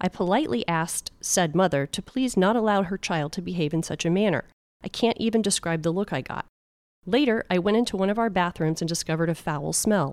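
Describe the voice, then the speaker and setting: An unremarkable speaking voice with an American accent moves at a fairly quick pace with lively intonation, recorded very cleanly against a silent background with a dry, close sound and no echo. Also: woman, medium pitch for a woman. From Florida, Clearwater. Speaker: podcast host. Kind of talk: scripted narration; casual chat.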